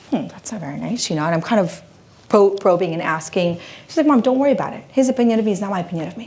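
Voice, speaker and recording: A woman at a medium pitch talking very fast, lively intonation, big swings in loudness, audible room echo and noticeable background noise. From Philippines. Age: 40s. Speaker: motivational speaker and women's coach. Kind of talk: keynote speech. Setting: stage with live audience. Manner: animated.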